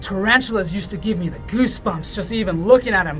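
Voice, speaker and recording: Words come out at a very fast pace while music plays in the background. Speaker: reptile show host. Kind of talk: educational presenting. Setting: reptile shop after hours. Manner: animated.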